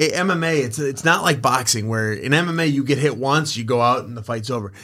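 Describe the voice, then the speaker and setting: A man with an American accent has an ordinary speaking voice. He talks at a fairly quick pace with lively intonation. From Wisconsin, US. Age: 30s. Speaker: professional MMA fighter and boxing coach. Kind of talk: casual podcast interview. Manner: upbeat, positive, laughs often.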